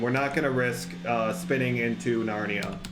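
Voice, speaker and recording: Against music in the background and audible room echo, a man speaks at a moderate pace with very wide pitch swings. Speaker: gaming youtuber. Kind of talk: live gameplay commentary. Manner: animated.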